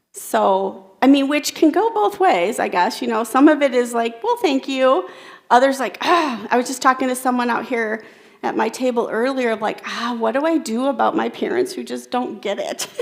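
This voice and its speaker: The speaker talks at a moderate pace with lively intonation. Noticeable background noise runs underneath. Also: woman, high pitch for a woman. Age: 40s. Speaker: keynote speaker. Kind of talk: keynote talk with audience interaction. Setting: stage with audience. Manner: conversational.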